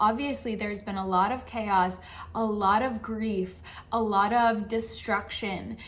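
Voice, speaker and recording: The speech is monotone, with flat intonation, at a fairly slow pace. Room echo can be heard. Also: woman, fairly high pitch for a woman. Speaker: spiritual coach. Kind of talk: channel monologue.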